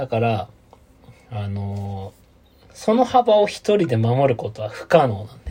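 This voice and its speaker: Speaking at a fairly slow pace, a man leaves long, frequent pauses, and his loudness swings widely. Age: 30s. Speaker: podcast co-host. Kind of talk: casual chat. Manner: animated.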